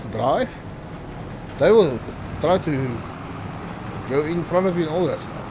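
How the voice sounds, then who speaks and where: Someone speaks at a moderate pace with noticeable background noise behind them. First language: not English. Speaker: gaming video creator. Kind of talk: gameplay commentary. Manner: stuttering; casual, self-talking.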